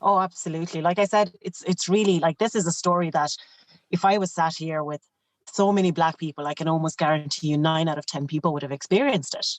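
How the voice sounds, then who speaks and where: A woman with a Clare Irish accent speaks at a very fast pace with ordinary pitch variation. The sound is dry and close, without echo. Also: fairly low pitch for a woman. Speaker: teacher and former trek leader. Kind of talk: podcast interview.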